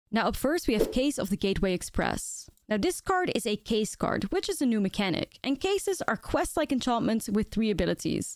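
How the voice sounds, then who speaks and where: A woman with a non-native accent at a fairly quick pace, very wide pitch swings, on a very clean recording with a silent background. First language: not English. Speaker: Magic: The Gathering content creator. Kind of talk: card set review video.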